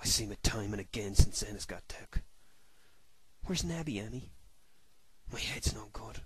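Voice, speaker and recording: A man uses a raspy put-on character voice. He talks at a moderate pace. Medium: read story. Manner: rustic dialect, broken and halting.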